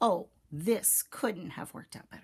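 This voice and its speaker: At a moderate pace, a raspy, female-sounding put-on character voice carries the lines. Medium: read story.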